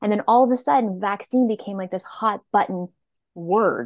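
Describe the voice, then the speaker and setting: A woman with an ordinary speaking voice, ordinary pitch variation and a fairly quick pace, over a quiet background. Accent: Canadian. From Nova Scotia, Canada. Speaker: naturopathic doctor. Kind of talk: casual interview.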